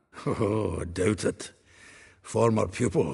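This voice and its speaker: A man puts on a character voice, raspy and fairly low in pitch. He speaks at a fairly slow pace. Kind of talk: video game voice acting. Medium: video game. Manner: chuckling, chatty, bawdy.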